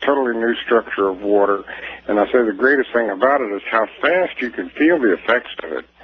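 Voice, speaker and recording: A man's voice with ordinary pitch variation, against noticeable background noise. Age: 60s. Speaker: inventor. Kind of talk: radio interview. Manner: halting, many fillers.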